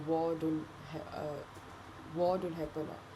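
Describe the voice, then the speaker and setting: A woman with a very deep, low pitch speaks in a monotone, flat way, with audible room echo. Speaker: student. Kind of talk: spoken reflection. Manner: halting.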